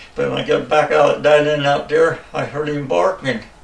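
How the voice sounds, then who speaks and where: The voice comes with an American accent. Noticeable background noise runs behind it. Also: man. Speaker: hunter. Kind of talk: interview answer.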